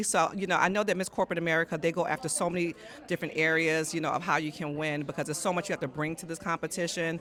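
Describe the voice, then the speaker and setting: At a very fast pace, a woman speaks at a medium pitch. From New York City, Brooklyn. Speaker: podcast host. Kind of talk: casual interview at an event. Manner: animated.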